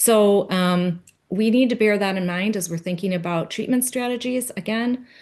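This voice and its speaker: In a normal speaking voice, a woman talks with lively intonation against a quiet background. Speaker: conference presenter on grapevine pest research. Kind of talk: conference presentation.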